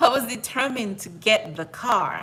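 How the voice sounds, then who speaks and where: Her bright, sharp tone marked by a French accent, a woman talks at a fairly slow pace with ordinary pitch variation. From outside the US, French-speaking. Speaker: personal finance YouTuber. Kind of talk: live stream monologue. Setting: at home. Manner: repetitive, conversational.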